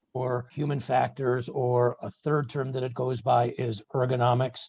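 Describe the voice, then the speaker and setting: The man's voice has a somewhat breathy quality. He talks with an American accent. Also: dry, close sound with no echo. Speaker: medical device consultant. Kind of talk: podcast interview. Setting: on location. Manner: articulate, measured.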